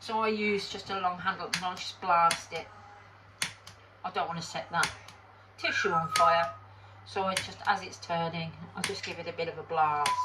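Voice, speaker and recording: With a British accent, the speaker talks at a moderate pace, leaving long, frequent pauses over noticeable background noise. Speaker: resin crafter. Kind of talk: tutorial. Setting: home workshop. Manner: casual, hesitant.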